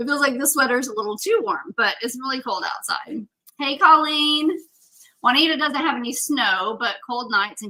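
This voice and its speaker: A woman speaks in a raised, projected voice at a high pitch. Her tone is bright and sharp, and her intonation lively. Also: big swings in loudness. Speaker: craft livestream host. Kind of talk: casual livestream tutorial. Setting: home office livestream. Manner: loud; casual, filler-heavy.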